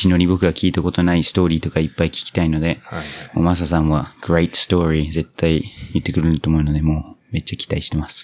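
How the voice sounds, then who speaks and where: The man's pitch is very deep and low. His intonation stays monotone and flat. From New Zealand. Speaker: podcast host, interpreter. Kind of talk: casual interview. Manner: mixes English into Japanese.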